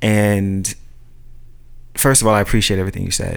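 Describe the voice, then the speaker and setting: In a fairly low pitch, a man speaks with an American accent. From Brooklyn, New York (Red Hook). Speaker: friend in a conversation podcast. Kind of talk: casual chat.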